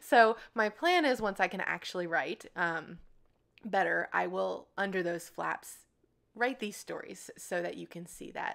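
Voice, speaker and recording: A woman talks fairly slowly in a very clean recording with a silent background. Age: 30s. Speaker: scrapbooking video creator. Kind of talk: tutorial voiceover narration. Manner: casual, chatty.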